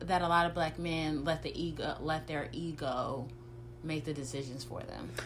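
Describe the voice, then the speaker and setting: Against audible room echo, a woman speaks with a very deep, low pitch and fairly even intonation. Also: moderate pace. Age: 30s. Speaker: marketer and writer. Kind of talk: casual chat.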